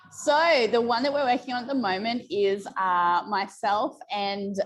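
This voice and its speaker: With normal pitch movement, a woman talks at a medium tempo. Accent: Australian. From rural Australia. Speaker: romance author. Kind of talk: interview.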